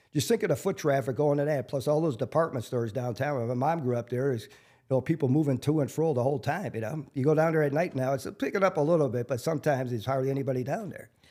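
A man with a Wisconsin accent talks very fast in a fairly high pitch, with ordinary pitch variation and hardly any pauses, on a very clean recording with a silent background. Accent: Upper Midwest (Wisconsin). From Milwaukee, Wisconsin (South Side). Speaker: local street celebrity, construction worker. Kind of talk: interview.

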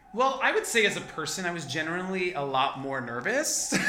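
A raised, projected voice with very wide pitch swings over noticeable background noise. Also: man. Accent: American. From Rio Grande Valley, Texas. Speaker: actor and singer. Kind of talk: casual interview chat.

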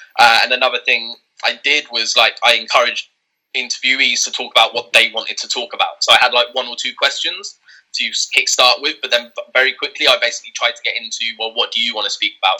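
Speaking at a very fast pace, this man rattles along. He has a southern English accent. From southern England. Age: 20s. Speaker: author. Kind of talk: interview.

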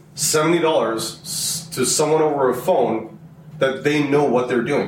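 With noticeable background noise behind him, a man speaks at a fairly slow pace and a fairly high pitch. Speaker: truck driver, host's husband. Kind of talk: casual family chat.

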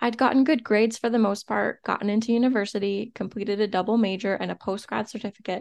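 Set against a quiet background, a woman speaks in a normal speaking voice, fairly high in pitch with ordinary pitch variation. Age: 30s. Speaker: podcast host, entrepreneur. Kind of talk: solo podcast monologue, motivational.

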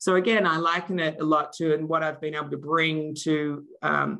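Speaking in an Australian accent, a woman has a very deep, low pitch, a bright, sharp tone and fairly even intonation. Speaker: marketing executive. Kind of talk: interview.

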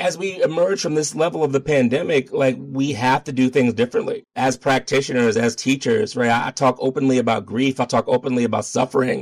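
A man with an American accent speaks in a plain, everyday voice at a medium pitch, moving at a fairly quick pace with hardly any pauses, ordinary pitch variation and very even loudness, recorded in a dry, close sound with no echo. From Baltimore, Maryland, US. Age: middle-aged. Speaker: yoga teacher and activist. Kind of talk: interview.

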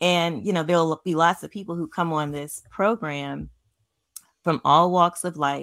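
With a plain, everyday voice, a woman speaks at a fairly low pitch, fairly slowly and with fairly even intonation, in a dry, close sound with no echo. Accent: American. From New York City, the Bronx. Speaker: podcast host and Reiki practitioner. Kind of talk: casual interview chat.

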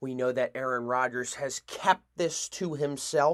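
Here is a man with a plain, everyday voice. He keeps a moderate pace and fairly even intonation. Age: 20s. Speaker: sports podcast host. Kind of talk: solo sports commentary podcast.

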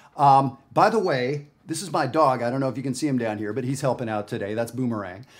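Speaking very fast with hardly any pauses, a man with a Canadian accent keeps a medium pitch and ordinary pitch variation. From Canada. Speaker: jazz educator. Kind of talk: tutorial. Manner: casual, conversational.

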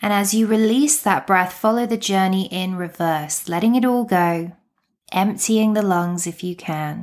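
A woman with a British accent speaks in a gentle, calm tone at medium pitch, with ordinary pitch variation. Her pace is fairly slow, and the recording is very clean with a silent background. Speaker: meditation coach and podcast host. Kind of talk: guided meditation. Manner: calm, slow, soothing; gentle, unhurried, with long pauses.

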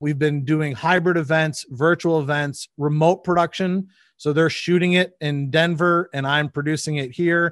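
With a US Midwestern accent, a man talks at a moderate pace and fairly high pitch, his intonation fairly even and hardly any pauses, in a dry, close sound with no echo against a quiet background. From Michigan, US Midwest. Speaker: audiovisual producer. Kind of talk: casual interview. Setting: video call.

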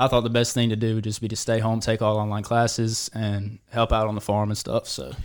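Speaking in an Alabama accent, a man with medium pitch talks at a fairly quick pace with hardly any pauses. His intonation stays monotone and flat. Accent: Southern US (Alabama). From Alabama, US South. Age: 20s. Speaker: cattle farmer. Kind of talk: casual chat. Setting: studio.

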